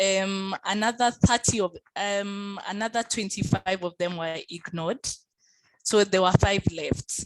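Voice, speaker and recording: A woman with an unremarkable speaking voice talks fairly slowly at a medium pitch with fairly even intonation. The sound is dry and close, with no echo. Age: young. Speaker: lawyer and keynote speaker. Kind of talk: keynote talk and Q&A answer.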